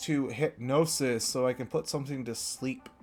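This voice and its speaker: The speaker's intonation stays fairly even as music plays in the background. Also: man. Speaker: Pokemon draft league player and YouTuber. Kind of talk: casual commentary analysis.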